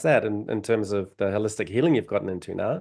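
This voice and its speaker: Medium-pitched male voice with a New Zealand accent against a quiet background. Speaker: podcast host, past life regression therapist. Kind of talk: interview. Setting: podcast.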